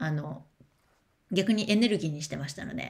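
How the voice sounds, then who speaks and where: Swinging very widely in pitch, a woman talks at a fairly quick pace with vocal fry. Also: quiet background. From Japan. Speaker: education speaker and streamer; speaker, streamer. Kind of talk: livestream chat, reading and answering comments. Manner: casual, chatty. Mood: warm, encouraging, chatty. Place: home room. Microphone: webcam.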